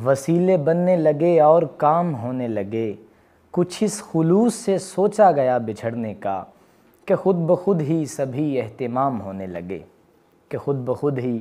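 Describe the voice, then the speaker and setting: A man with a fairly high pitch lets it swing very widely. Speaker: voice-over artist. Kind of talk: interview answer.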